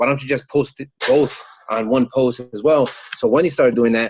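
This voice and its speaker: A man with a New York accent at a fairly quick pace, ordinary pitch variation, and a dry, close sound with no echo. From New York, Puerto Rican community. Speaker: team member. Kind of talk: team call talk.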